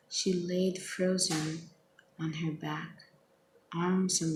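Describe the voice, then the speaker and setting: Soft-spoken and fairly low in pitch, a woman talks at a very slow pace with monotone, flat intonation. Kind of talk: poetry reading.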